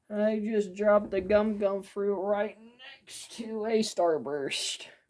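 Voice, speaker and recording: The voice is quiet and moves at a very slow pace. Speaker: toy reviewer. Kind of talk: product review. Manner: quiet, hushed; hesitant, many fillers.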